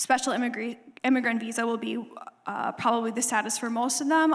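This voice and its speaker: Noticeable background noise runs behind the recording. Over it, a woman talks with a fairly high pitch. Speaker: refugee ministry staff speaker. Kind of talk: church presentation with Q&A. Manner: fast.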